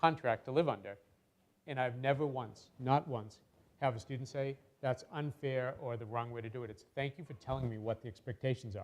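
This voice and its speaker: With an American accent, a man talks at a very fast pace and fairly even intonation. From Massachusetts (Lowell). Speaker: nonprofit founder and CEO. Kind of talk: seminar talk. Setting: lecture hall with microphone.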